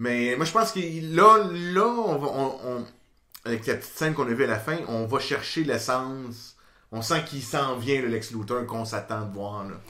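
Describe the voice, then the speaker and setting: Here a man with a Quebec accent talks at a moderate pace and medium pitch, his intonation lively. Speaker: podcast co-host. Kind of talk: casual chat. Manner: halting.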